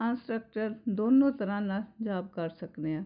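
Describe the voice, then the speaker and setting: A woman with a Punjabi accent, fairly high pitch and ordinary pitch variation. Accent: Punjabi-accented Hindi. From Punjab, India (Pathankot). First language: Punjabi (speaking Hindi). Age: 60s. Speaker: spiritual devotee, housewife. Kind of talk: personal testimony.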